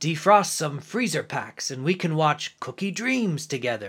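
A put-on character voice from a man, fairly high-pitched with very wide pitch swings, in a very clean recording with a silent background. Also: moderate pace. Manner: eyebrows raised, voice lifted.

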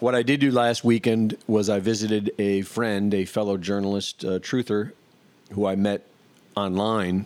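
A man with a fairly low pitch speaks on a very clean recording with a silent background. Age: 50s. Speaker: podcast host. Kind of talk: casual monologue. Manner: rambling, energetic.

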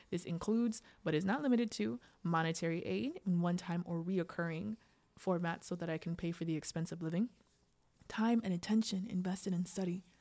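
With an American accent, a woman speaks at a fairly quick pace, her pitch medium. Her tone is dark and mellow, and somewhat breathy. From US, Sierra Leonean heritage. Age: 20s. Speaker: podcast host and mental health professional. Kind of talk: solo podcast monologue, partly read essay.

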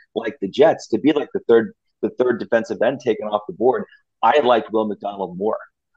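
A man with an American accent speaks at a medium pitch and a moderate pace, in a normal speaking voice. The sound is dry and close, with no echo. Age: 50s. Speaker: sports blogger. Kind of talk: casual chat.

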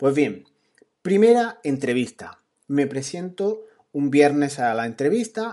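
Against a quiet background, a man with a normal speaking voice talks at a fairly slow pace, fairly high pitch and lively intonation. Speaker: podcaster on productivity. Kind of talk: storytelling monologue. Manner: casual.

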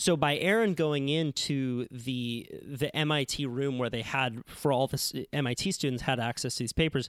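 Using a plain, everyday voice, a man talks at a fairly slow pace with medium pitch and ordinary pitch variation. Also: very clean recording, silent background. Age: 20s. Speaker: podcast host and surfer journalist. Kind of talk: casual chat; scripted narration.

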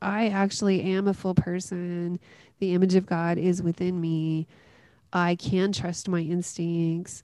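A woman's fairly low, dark, mellow voice in a Southern US accent, monotone and flat, at a fairly slow pace over a quiet background. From US South, West Tennessee. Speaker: pastor and author. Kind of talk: interview.

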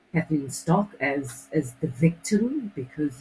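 Very deep and low in pitch, this woman's voice has a dark, mellow tone and a somewhat breathy quality, moving at a fairly slow pace. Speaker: radio co-host. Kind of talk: casual chat.

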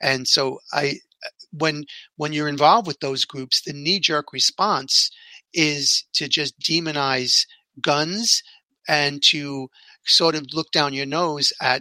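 With a New York accent and a bright, sharp tone, this voice moves at a very slow pace with long, frequent pauses and ordinary pitch variation, in a very clean recording with a silent background and a dry, close sound with no echo. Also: man, fairly high pitch for a man. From New York City. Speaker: podcast host.

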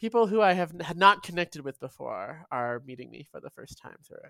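Very wide pitch swings run through a woman's speech in a Canadian accent at a moderate pace, the sound dry and close with no echo on a very clean recording with a silent background. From Vancouver, Canada. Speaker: writer and poet. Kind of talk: interview conversation.

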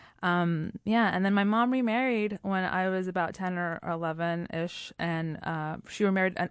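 A woman with an American accent, an ordinary speaking voice at a medium pitch with ordinary pitch variation, at a moderate pace with hardly any pauses, against a quiet background. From Puerto Rico and US. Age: 30s. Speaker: storytelling show founder, guest. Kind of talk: casual interview chat.

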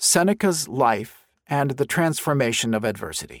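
A man speaks with vocal fry and very wide pitch swings. The recording is very clean, dry and close, with no echo and a silent background. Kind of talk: audiobook narration of a nonfiction book. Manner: measured, clear, formal.

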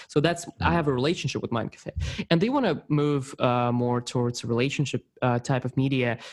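A man with a non-native accent speaks at a medium pitch. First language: not English. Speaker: podcast host. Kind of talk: casual interview. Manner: enthusiastic.

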